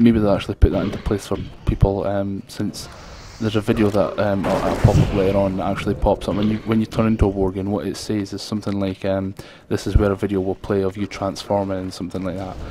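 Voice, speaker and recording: Noticeable background noise sits behind a man talking very fast. His fairly low voice is flat and monotone. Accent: strong Scottish. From Scotland. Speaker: gaming video creator. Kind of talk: gameplay commentary. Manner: hesitant, many fillers.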